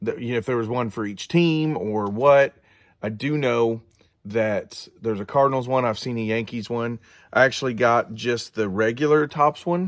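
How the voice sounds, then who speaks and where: Recorded very cleanly against a silent background, a man with medium pitch speaks at a moderate pace with ordinary pitch variation. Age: 40s. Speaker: card collecting youtuber. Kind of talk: casual show-and-tell vlog. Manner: halting, many fillers.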